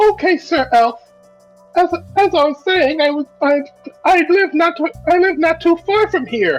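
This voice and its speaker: A female-sounding, put-on character voice at an extremely high pitch speaks at a very slow pace while faint music plays in the background. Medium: actual play. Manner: polite, chatty.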